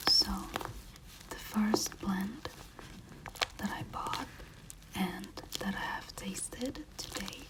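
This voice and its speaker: The voice is whispering at a very slow pace. Noticeable background noise can be heard. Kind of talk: ASMR tea tasting talk to camera. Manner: soft-spoken, whispered.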